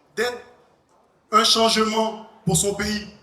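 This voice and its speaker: A man speaks in a raised, projected voice that sits high for a male, his intonation fairly even, with noticeable background noise and audible room echo. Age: 20s. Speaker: pageant contestant. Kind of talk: contest speech. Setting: stage with audience. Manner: halting.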